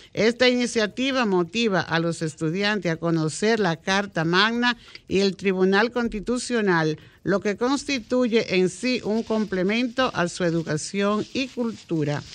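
A woman at medium pitch, with ordinary pitch variation, speaks in an unremarkable speaking voice. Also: fairly slow pace. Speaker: radio co-host. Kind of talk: news reading.

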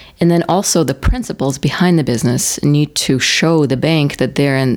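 A woman speaks with a Russian accent in a very deep, low voice, at a moderate pace with hardly any pauses and ordinary pitch variation. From Russia, Moscow. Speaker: banker. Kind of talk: interview.

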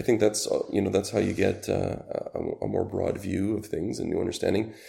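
Speaking at a fairly quick pace, a man has a Canadian accent. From Canada. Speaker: rental company sales executive. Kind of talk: interview.

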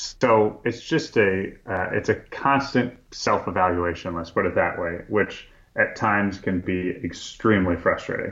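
Against a quiet background, a man with a fairly low pitch speaks at a fairly slow pace with ordinary pitch variation and hardly any pauses. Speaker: food company founder. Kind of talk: interview. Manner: hesitant with fillers.

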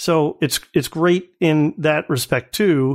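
A plain, everyday voice from a man, fairly high in pitch with ordinary variation, at a fairly slow pace on a very clean recording with a silent background. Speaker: podcast co-host. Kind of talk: casual discussion.

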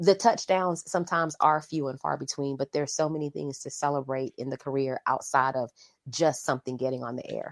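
A woman at a fairly quick pace, in a dry, close sound with no echo. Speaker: actress and author. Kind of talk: interview answers. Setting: video call.

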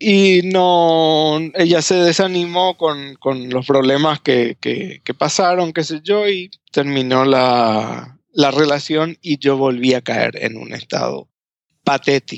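A man with a fairly high pitch and ordinary pitch variation talks at a very slow pace. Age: 40s. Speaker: former pastor. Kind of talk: interview testimony. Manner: halting, many repetitions.

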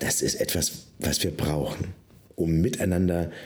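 This man's voice is very deep and low, with vocal fry running through it. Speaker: pastor and podcast co-host. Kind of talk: casual chat.

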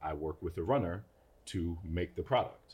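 A man with an American accent and a very deep, low pitch speaks at a moderate pace, somewhat breathy, in a very clean recording with a silent background. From Brooklyn, New York. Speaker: food entrepreneur. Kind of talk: casual interview.

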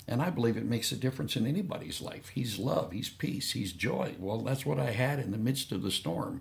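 A man speaks at medium pitch and a fairly quick pace, with vocal fry. His pitch swings very widely. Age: 70s. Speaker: missionary pastor. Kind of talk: interview testimony.

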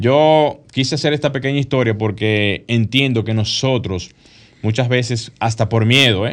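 A man in a normal speaking voice, medium in pitch with ordinary variation, at a fairly slow pace. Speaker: architect and radio co-host. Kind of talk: casual radio talk show. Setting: radio studio.

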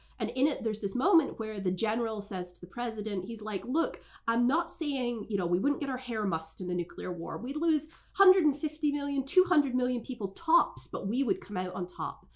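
Over noticeable background noise, a woman talks fairly quickly at a high pitch with very wide pitch swings. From Scotland. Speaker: foreign policy scholar. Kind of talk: interview conversation. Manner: hesitant with fillers.

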